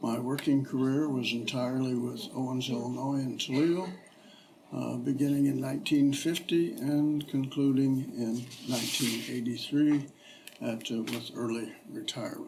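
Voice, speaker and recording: A man with a Midwestern American accent speaks at a moderate pace and medium pitch, his intonation fairly even. Noticeable background noise and audible room echo surround him. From Ohio, US Midwest. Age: 80s+. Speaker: retired businessman, local resident interviewee. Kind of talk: oral history interview. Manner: halting, many fillers.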